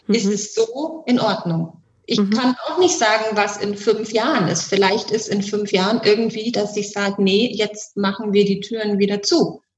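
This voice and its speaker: A woman with an ordinary speaking voice talks at a fairly high pitch. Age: 40s. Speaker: sex coach and bodywork practitioner. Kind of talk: casual interview chat.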